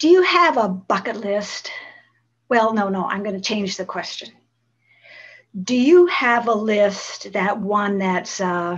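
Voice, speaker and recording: A woman's somewhat breathy, medium-pitched voice with lively intonation, very slow pace and long, frequent pauses. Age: 80s+. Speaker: motivational speaker, cross-country cyclist. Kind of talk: motivational talk to an audience. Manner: warm, heartfelt, conversational.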